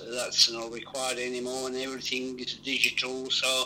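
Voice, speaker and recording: Medium-pitched male voice at a moderate pace, with noticeable background noise. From Italy. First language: Italian. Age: 70s. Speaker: actor. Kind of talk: interview.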